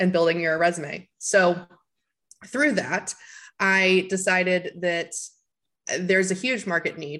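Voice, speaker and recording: A woman with a plain, everyday voice talks fairly slowly at a medium pitch, with ordinary pitch variation and a quiet background. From US South, Tennessee. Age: 20s. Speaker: marketing consultant and business founder. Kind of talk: interview.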